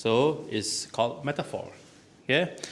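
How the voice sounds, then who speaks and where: The man speaks at a very slow pace. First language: not English. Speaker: toastmasters language evaluator. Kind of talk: speech evaluation. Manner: halting, many fillers.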